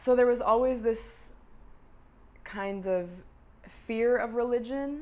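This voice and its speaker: With fairly even intonation, a woman talks in an American accent. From US Northeast, Boston. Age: 20s. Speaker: performing arts student. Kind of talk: documentary interview. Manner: halting, with repeated words.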